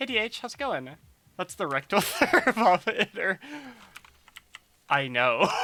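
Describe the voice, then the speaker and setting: In a bright, sharp tone with vocal fry, a woman at medium pitch speaks fairly slowly with very wide pitch swings, the sound dry and close with no echo. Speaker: streamer. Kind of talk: casual live stream chat. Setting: live stream. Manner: halting.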